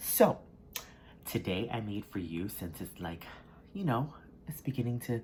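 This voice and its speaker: A somewhat breathy man speaks with an American accent. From US South. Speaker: mukbang creator. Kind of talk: casual talk to camera while eating.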